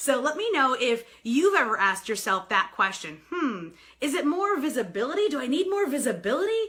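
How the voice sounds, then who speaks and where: A woman's animated, high-pitched voice, bright and sharp in tone, with very wide pitch swings and a fairly quick pace. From New York. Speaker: sales coach and author. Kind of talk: live video broadcast. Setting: live stream.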